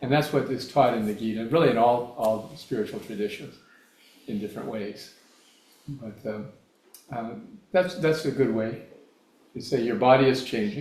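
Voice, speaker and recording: With audible room echo, a man at a medium pitch talks at a moderate pace in a somewhat breathy voice, using ordinary pitch variation and long, frequent pauses. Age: 70s. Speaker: guest speaker on spiritual philosophy. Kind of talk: Q&A answer in a talk. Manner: halting, with fillers and restarts.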